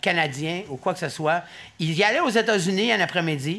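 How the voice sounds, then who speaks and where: A man speaks in a raised, projected voice with a bright, sharp tone. His pace is moderate. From Gaspésie. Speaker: podcast host. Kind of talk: casual chat.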